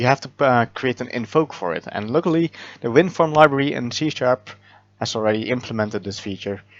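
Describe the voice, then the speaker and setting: A man with a non-native accent talks at a fairly quick pace and medium pitch, with lively intonation. The sound is dry and close with no echo, over a quiet background. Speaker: software developer. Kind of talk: programming tutorial narration. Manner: hesitant, many filler words.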